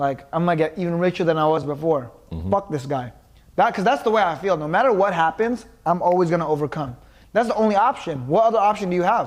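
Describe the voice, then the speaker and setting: Talking at a very fast pace, a man with a high pitch uses lively intonation in an American accent. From Los Angeles, California. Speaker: podcast co-host. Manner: no filter.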